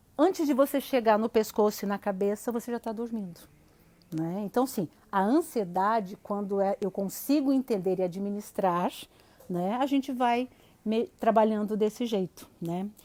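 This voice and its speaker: A woman's fairly high-pitched voice comes through with a dark, mellow tone. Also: ordinary pitch variation, moderate pace. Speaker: psychologist. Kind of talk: live stream talk. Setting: online live stream.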